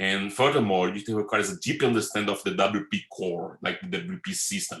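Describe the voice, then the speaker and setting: Fairly quick male speech with a Brazilian Portuguese accent, a fairly low pitch, and lively intonation. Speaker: web developer and conference speaker. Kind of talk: conference talk. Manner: fast.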